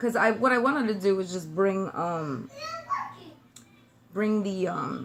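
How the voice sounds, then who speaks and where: With an American accent and a medium pitch, a woman speaks in an animated tone with lively intonation at a fairly slow pace, leaving long, frequent pauses, amid audible room echo and noticeable background noise. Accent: New York accent with slight Southern twang. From New York City (Brooklyn). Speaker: beauty vlogger. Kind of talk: makeup tutorial. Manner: chatty, animated.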